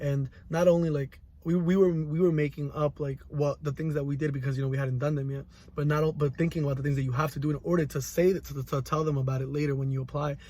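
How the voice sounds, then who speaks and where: Very fast and somewhat breathy, a man speaks in a fairly high pitch with a dark, mellow tone and monotone, flat intonation. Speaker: college student. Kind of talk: reflective monologue. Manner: halting.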